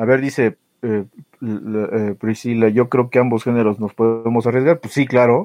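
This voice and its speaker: A man with a Mexican accent and fairly even intonation. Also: medium pitch for a man, moderate pace. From Mexico. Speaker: podcast co-host. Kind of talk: casual chat.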